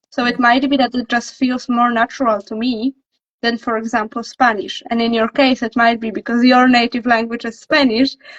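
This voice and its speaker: Her voice is high in pitch. The woman speaks with monotone, flat intonation. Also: moderate pace. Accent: Polish. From Poland. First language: Polish. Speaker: language coach. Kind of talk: casual chat. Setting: livestream.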